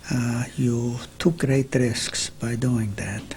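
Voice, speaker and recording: A man's medium-pitched voice amid noticeable background noise. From Carpathian Ruthenia, Czechoslovakia. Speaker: Holocaust survivor. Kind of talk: interview answer.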